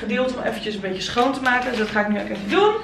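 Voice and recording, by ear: Audible room echo surrounds a woman whose fairly high, fairly bright voice shows ordinary pitch variation.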